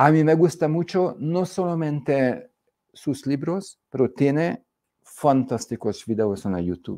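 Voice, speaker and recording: Over a quiet background, a man with a Hungarian accent speaks at a very slow pace with lively intonation. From Hungary. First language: Hungarian (speaking Spanish). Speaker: economics speaker; speaker. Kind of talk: lecture. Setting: stage with audience. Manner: halting. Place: studio. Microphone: lapel.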